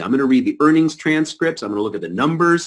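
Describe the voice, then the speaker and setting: Against a quiet background, a man with a fairly high voice and vocal fry talks very fast. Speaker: stock newsletter trader. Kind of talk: investment presentation. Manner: animated.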